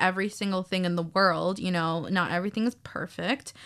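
A woman's bright, sharp tone in monotone, flat intonation over a quiet background. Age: 20s. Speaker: student podcast co-host. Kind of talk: casual chat. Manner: filler-heavy, lots of um and like.

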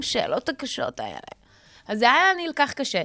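Recorded very cleanly with a silent background and a dry, close sound without echo, a woman speaks at a moderate pace with very wide pitch swings. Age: 30s. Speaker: radio host. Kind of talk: casual chat. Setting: radio studio.

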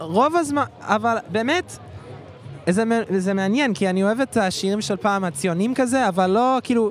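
Lively intonation at a moderate pace, in an English accent. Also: man. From Canada, Toronto. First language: English (speaking Hebrew). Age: 20s. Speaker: volunteer math teacher. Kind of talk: street interview. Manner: halting.

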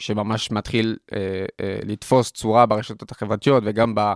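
On a very clean recording with a silent background, a man speaks in a French accent at a medium pitch. His pace is fairly slow and his intonation fairly even, with a dry, close sound and no echo. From France (Paris). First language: French (speaking Hebrew). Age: 20s. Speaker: student entrepreneur, nonprofit CEO. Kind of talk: interview conversation. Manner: hesitant, many fillers.

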